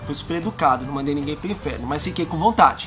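A man speaks at a very fast pace with clear music in the background. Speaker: video blogger. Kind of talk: casual vlog chat. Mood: annoyed, animated storytelling. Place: garden. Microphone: camera far.

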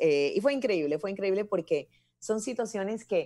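A woman talks at a fairly quick pace in a dark, mellow tone. The background is quiet. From Ecuador. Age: 40s. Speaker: commercial voice-over artist and announcer; guest. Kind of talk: interview conversation. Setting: live video call. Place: home room. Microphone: earbuds.

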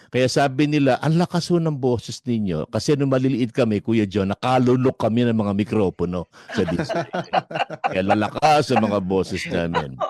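Animated man at medium pitch, fairly quick pace, lively intonation, very even loudness and a dry, close sound with no echo. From Philippines. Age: 60s. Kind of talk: casual chat.

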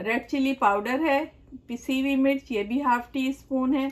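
Her pitch varies in an ordinary way. The woman's pace is fairly slow. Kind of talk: cooking tutorial. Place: kitchen.

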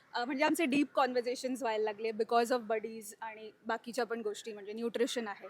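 Her intonation fairly even, a woman talks with a fairly high pitch. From Mumbai, Bandra. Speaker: nutritionist, actor's wife. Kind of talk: casual interview chat. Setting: at husband's family home. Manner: hesitant, with fillers.

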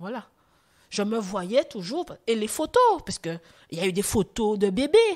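A woman speaks at a fairly slow pace and a fairly high pitch, with very wide pitch swings and big swings in loudness. Long, frequent pauses break up her speech. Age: 40s. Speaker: testimony guest, former choreographer. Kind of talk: testimony.

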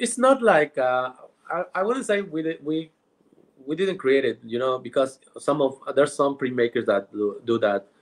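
A man speaks at a moderate pace in a fairly high voice, his pitch swinging very widely. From Mexico, Oaxaca. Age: 30s. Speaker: printmaking artist; podcast guest. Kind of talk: interview. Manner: halting. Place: home room. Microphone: video call.

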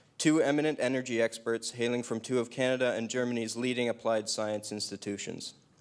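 Keeping his intonation fairly even, a man races along at a very fast pace. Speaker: event host. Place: hall. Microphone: handheld.

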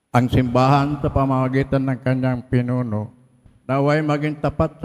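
Ordinary pitch variation and a moderate pace from a normal speaking voice. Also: man. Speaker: reader of prayers of the faithful. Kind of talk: liturgical intercessions reading.

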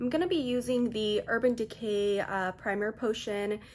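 Light background noise behind a woman speaking at a moderate pace. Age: 20s. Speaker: beauty vlogger. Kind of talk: makeup tutorial. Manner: animated. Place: home room. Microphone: phone near.

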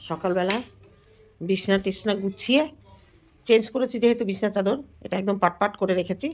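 The woman's voice sits at a medium pitch. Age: middle-aged. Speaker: vlogger. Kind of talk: casual vlog talk to camera.

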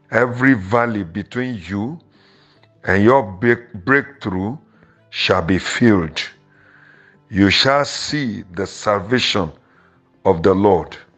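Over music in the background, a man speaks at a very slow pace with long, frequent pauses, a fairly low pitch and ordinary pitch variation. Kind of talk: prayer declaration.

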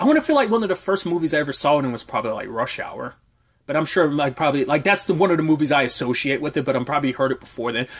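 This man's voice is animated, with very wide swings in pitch. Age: 30s. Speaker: TV review youtuber. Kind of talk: solo video review. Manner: casual, animated.

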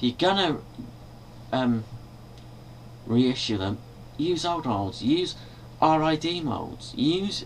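Lively intonation from a man with a British accent, over light background noise. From Britain. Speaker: video blogger and toy collector. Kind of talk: angry rant, complaining about toy reissues, swearing. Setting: bedroom, webcam video, filmed at night. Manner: irritated, exasperated, rhetorical questions, rambling. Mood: annoyed, complaining. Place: home room. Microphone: webcam.

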